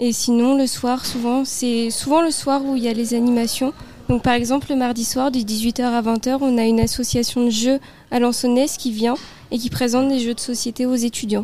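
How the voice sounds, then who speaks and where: Noticeable background noise sits behind a woman with a high pitch. Her delivery is monotone, flat intonation, at a moderate pace and very even loudness. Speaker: civic service volunteer. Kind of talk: radio interview.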